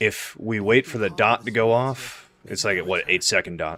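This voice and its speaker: A man with a bright, sharp tone mumbles at a fairly slow pace. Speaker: gaming streamer. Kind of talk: live gameplay commentary. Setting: livestream. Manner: mumbling; casual, conversational.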